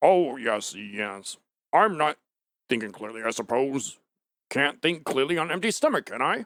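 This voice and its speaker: Putting on a character voice at a medium pitch, a man moves at a moderate pace with very wide pitch swings and long, frequent pauses. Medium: audio drama. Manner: drowsy, easygoing.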